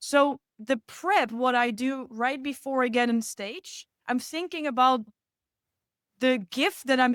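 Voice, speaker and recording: The recording is very clean, with a silent background. A woman speaks slowly-ish, at a fairly slow pace, in a high pitch. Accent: non-native. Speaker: speaker coach. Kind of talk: podcast interview. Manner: animated.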